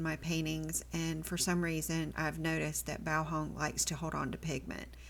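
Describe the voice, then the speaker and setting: A moderate pace in an American accent. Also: woman. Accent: southern US, comes out at times. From US South, army family moving around incl. Germany. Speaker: watercolor art teacher. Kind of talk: tutorial. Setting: home art studio. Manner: casual, chatty.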